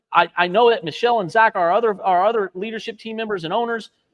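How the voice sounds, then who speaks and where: In a dry, close recording with no echo, a man talks at a very fast pace in an animated, excited tone. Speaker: art instructor and co-founder. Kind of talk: live stream chat. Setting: art studio live stream. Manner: loud.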